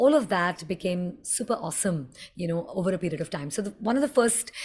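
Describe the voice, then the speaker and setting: Speaking at a very fast pace in an Indian accent, the voice is animated and somewhat breathy, with lively intonation. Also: woman, medium pitch for a woman. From India, Mumbai. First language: Hindi. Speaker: communication coach. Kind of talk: tutorial.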